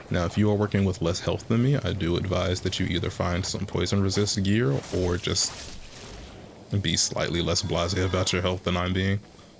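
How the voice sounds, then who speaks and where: A man's very deep, low voice at a moderate pace, with fairly even intonation, very even loudness and noticeable background noise. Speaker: gaming video creator. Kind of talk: gameplay commentary. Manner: low energy.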